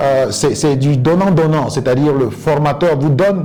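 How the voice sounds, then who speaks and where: Over noticeable background noise, a man speaks in a fairly high voice with ordinary pitch variation. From Côte d'Ivoire. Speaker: English coach and interpreter. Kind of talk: interview answer.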